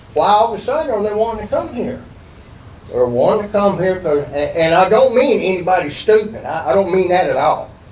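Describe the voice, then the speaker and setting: Against noticeable background noise and audible room echo, a man with a high voice talks at a fairly quick pace with lively intonation. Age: 70s. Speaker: resident speaking at public hearing. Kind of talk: public comment at city meeting. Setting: public meeting room with microphones. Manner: halting, repetitive; animated.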